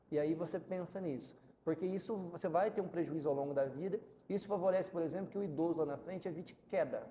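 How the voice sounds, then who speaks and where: A man's high-pitched voice at a very fast pace, dark and mellow in tone. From Brazil, southern Minas Gerais. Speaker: physical education professor. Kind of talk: podcast interview. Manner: animated.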